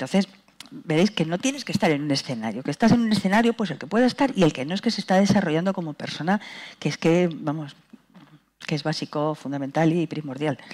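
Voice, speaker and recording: A woman with a fairly low pitch talks at a very fast pace with very wide pitch swings. The background is quiet. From Spain, Madrid. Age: 60s. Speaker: dance company director; speaker. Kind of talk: panel talk. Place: stage.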